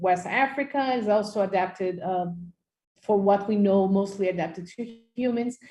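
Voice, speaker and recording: The speaker talks fairly quickly with a Portuguese accent in a dark, mellow, somewhat breathy tone with ordinary pitch variation, and room echo is audible. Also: woman. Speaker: microbiology professor. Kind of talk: lecture. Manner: halting, many fillers.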